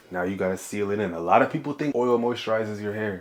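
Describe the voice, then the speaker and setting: Talking at a fairly quick pace, the man keeps a medium pitch and fairly even intonation. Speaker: hair tutorial YouTuber. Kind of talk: tutorial. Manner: fast; casual, slangy.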